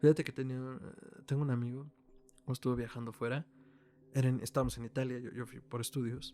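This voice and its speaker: A man with a Mexican accent speaks very fast in a dark, mellow tone with monotone, flat intonation, big swings in loudness, and long, frequent pauses. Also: medium pitch for a man. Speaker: podcast co-host. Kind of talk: casual chat.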